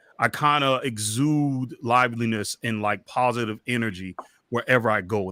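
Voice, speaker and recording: Loud and with a bright, sharp tone, a man speaks at a medium pitch in a dry, close sound with no echo on a very clean recording with a silent background. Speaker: podcaster and interview guest. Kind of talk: candid interview conversation about mental health. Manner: loud, boisterous.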